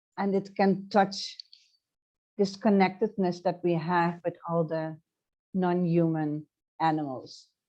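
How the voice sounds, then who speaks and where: A woman speaks very slowly with long, frequent pauses, her pitch fairly low and her tone dark and mellow. Her intonation stays fairly even against a quiet background. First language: Dutch. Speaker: transformational coach. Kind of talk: interview. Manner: halting.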